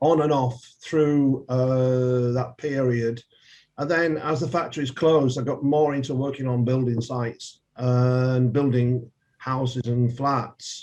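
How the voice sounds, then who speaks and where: With a dark, mellow tone and medium pitch, a man speaks at a fairly slow pace and with fairly even intonation. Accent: Yorkshire. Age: 70s. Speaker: politician. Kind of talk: interview.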